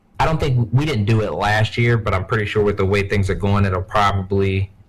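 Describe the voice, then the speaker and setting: Against noticeable background noise, a man with a fairly low pitch keeps his loudness very even. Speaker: gaming podcast co-host. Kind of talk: casual chat.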